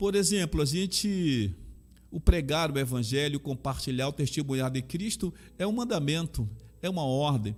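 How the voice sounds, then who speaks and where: A man's fairly high voice with lively intonation at a moderate pace, on a very clean recording with a silent background. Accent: Bahian. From Brazil, Bahia (Salvador). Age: 60s. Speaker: pastor and chaplain. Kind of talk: interview testimony.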